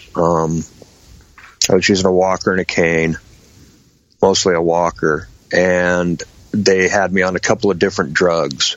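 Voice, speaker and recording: At a moderate pace, a man with an American accent speaks in a very deep, low pitch, with monotone, flat intonation, very even loudness and long, frequent pauses. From Washington state, US Pacific Northwest. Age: 50s. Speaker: patient with MS and lung cancer. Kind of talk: interview.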